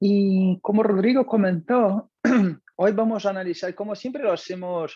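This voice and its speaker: With a Brazilian accent, the voice has a dark, mellow tone, fairly even intonation and a moderate pace. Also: man, high pitch for a man. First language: Portuguese (speaking Spanish). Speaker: customer success manager at analytics company. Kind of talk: webinar presentation. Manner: hesitant, frequent fillers.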